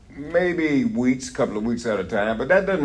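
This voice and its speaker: With lively intonation and a moderate pace, a man talks while noticeable background noise carries on behind him. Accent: American. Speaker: wrestling personality. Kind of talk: interview answer. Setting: convention. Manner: animated.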